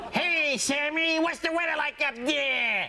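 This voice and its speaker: A high-pitched, put-on character voice goes at a fairly slow pace over clear background noise. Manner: over-the-top.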